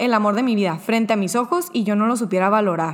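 Ordinary pitch variation marks a woman's unremarkable speaking voice as she talks at a moderate pace. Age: 20s. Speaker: guest sharing personal testimony. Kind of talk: testimony.

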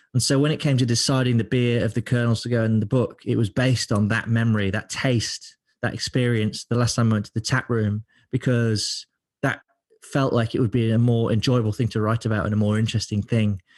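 Against a quiet background, a man talks at a fairly quick pace in a flat monotone with medium pitch and very even loudness, the sound dry and close with no echo. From England, Lincoln. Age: 30s. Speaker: beer writer and author. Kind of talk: casual interview. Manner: frequent repetitions and fillers.

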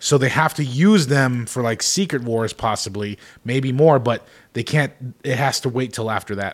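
A man talks at a moderate pace in an unremarkable speaking voice, medium in pitch with ordinary pitch variation. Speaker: podcast co-host. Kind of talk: casual chat, podcast banter.

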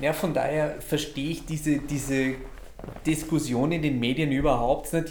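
Flat, monotone speech at a moderate pace, with noticeable background noise and audible room echo. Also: man. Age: 40s. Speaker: podcast host. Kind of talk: casual chat. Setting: recorded in a cigar shop.

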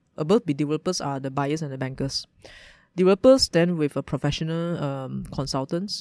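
A woman's very deep, low voice in a Malaysian accent, fairly even in intonation and dark and mellow in tone, on a very clean, dry, close recording with a silent background and no echo. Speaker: startup founder, former lawyer. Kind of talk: interview.

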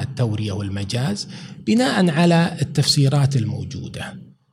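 Lively in intonation, a man with a fairly high pitch speaks over noticeable background noise. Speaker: professor and author. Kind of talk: podcast interview.

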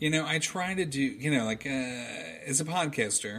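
A man speaks over noticeable background noise. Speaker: podcast host. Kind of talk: casual chat, storytelling. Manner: rambling, halting with filler words.

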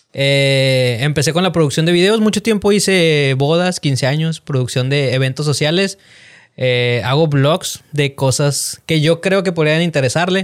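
In a normal speaking voice, a man with a fairly high pitch talks at a fairly slow pace with ordinary pitch variation and very even loudness, on a very clean recording with a silent background. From Mexico, Monterrey (Nuevo León). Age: 30s. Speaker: video producer and content creator. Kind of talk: casual interview chat.

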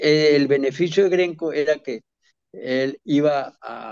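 The sound is close and dry, free of echo. It is a man talking. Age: 80s+. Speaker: former football club president. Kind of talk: interview. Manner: halting.

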